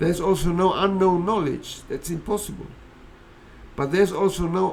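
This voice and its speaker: A man speaks in a high pitch with audible room echo. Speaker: philosophy speaker. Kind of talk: lecture.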